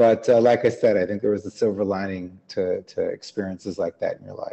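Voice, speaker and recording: With a Chicago accent, a man speaks at a fairly quick pace, his loudness swinging widely. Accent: General American, Chicago. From US Midwest, Chicago suburbs. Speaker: business founder. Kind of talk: podcast interview.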